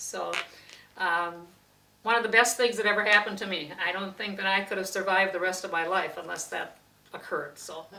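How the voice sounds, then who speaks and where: A woman with a medium pitch talks at a fairly quick pace with fairly even intonation, big swings in loudness, and long, frequent pauses. Noticeable background noise and audible room echo fill the recording. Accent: Upper Midwest. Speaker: interviewee recalling family history. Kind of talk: oral history interview. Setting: at home.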